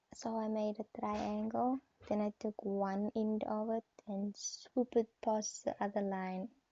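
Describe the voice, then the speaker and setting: Speaking with a non-native accent, a woman talks at a fairly slow pace and fairly high pitch, in a monotone, flat intonation. Her tone is dark and mellow, and the sound is dry and close, with no echo. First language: not English. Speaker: nail art vlogger. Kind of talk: voiceover narration of tutorial. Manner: halting.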